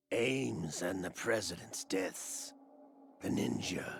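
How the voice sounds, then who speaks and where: This is a put-on character voice at a fairly slow pace. It sounds raspy. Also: man, very deep, low pitch for a man. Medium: video game. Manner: calm, mocking.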